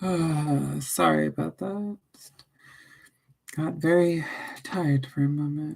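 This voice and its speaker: A soft-spoken woman talks at a very slow pace, leaving long, frequent pauses. Her loudness swings widely. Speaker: streamer reading political texts aloud.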